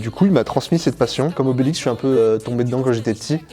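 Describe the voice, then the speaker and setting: A man speaks with music playing in the background. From northern France, Picardy (Somme, Abbeville). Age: 20s. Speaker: glider pilot and aircraft test technician. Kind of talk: interview monologue. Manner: hesitant, many fillers.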